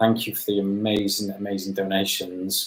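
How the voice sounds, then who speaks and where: With a Welsh accent, a man speaks at a moderate pace in a fairly low pitch. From Wales. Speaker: YouTuber. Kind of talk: live stream chat. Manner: halting.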